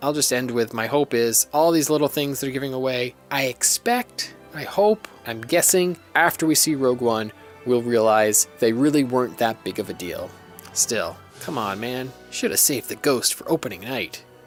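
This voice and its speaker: Over music in the background, a man speaks at medium pitch and a moderate pace with ordinary pitch variation. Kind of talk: casual podcast monologue.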